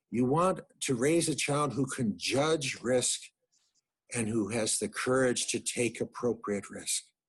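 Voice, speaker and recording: A man with an American accent speaks at a very slow pace. His pitch is medium and his intonation lively. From United States. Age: 60s. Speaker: psychologist and family physician. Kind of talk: lecture.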